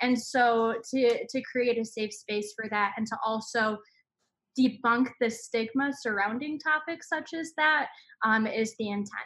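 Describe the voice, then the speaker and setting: At a fairly slow pace, a woman with an American accent uses an ordinary speaking voice, fairly high in pitch with ordinary pitch variation. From Michigan, just south of Detroit. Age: 20s. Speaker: comedian and podcaster. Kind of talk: casual interview chat.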